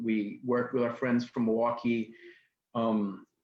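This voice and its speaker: A man with a New York accent, medium in pitch, at a moderate pace. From New York City, Queens. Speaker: nonprofit executive director and activist. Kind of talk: interview talk.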